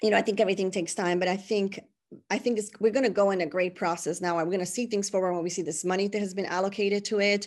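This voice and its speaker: A woman with a Spanish accent talks very fast at a medium pitch with fairly even intonation. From Puerto Rico (San Juan). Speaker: high school Spanish teacher. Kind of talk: interview.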